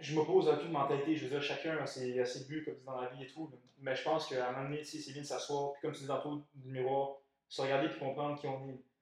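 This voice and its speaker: Speaking at a very fast pace, a man keeps his intonation monotone and flat. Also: fairly high pitch for a man. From Montreal, Quebec. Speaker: podcast co-host. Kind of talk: casual chat.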